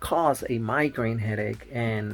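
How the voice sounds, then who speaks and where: With a Spanish accent, a man speaks very slowly at a medium pitch. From Nicaragua, raised in the US. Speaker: family vlogger. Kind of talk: casual vlog. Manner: halting, many fillers.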